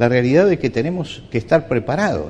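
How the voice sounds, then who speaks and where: The man's dark, mellow tone moves through very wide pitch swings. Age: 70s. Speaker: pastor. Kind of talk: sermon.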